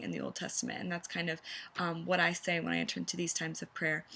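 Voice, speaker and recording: A woman with vocal fry and a bright, sharp tone talks at a fairly quick pace with ordinary pitch variation. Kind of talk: teaching video. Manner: fast.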